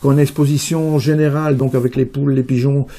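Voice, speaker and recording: A man's fairly high voice at a fairly quick pace with fairly even intonation. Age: 60s. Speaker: rabbit breeder and show judge. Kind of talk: interview. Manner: hesitant, many fillers.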